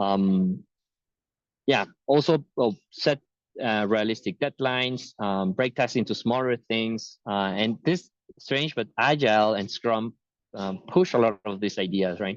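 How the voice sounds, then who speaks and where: A man speaks in an unremarkable speaking voice at a medium pitch with ordinary variation, at a fairly slow pace. The sound is dry and close, with no echo, over a quiet background. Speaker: tech talk speaker. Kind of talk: webinar presentation. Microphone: unstable connection, dropping out.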